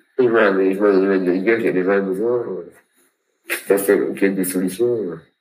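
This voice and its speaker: Amid audible room echo, a man with a fairly low pitch speaks very slowly in a flat monotone, leaving long, frequent pauses. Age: 30s. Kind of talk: interview. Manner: halting.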